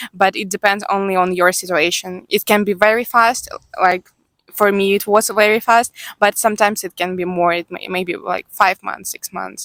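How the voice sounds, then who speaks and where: A woman with a Ukrainian accent speaks at medium pitch and a moderate pace, her intonation monotone and flat yet her loudness swinging widely, in a dry, close sound with no echo. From Ukraine, Odessa. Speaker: Ukrainian newcomer worker. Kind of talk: interview. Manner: halting.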